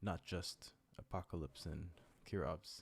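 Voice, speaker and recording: In a very clean recording with a silent background, a man is soft-spoken. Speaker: gaming commentator. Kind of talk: live commentary. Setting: at home late at night. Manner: soft-spoken, speaking quietly.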